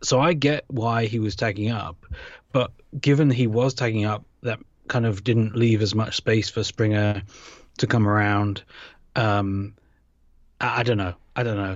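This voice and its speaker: A man with a British accent speaks at a moderate pace and fairly low pitch, his intonation fairly even and broken by long, frequent pauses. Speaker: podcast host. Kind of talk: casual chat. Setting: remote recording. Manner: joking, self-deprecating.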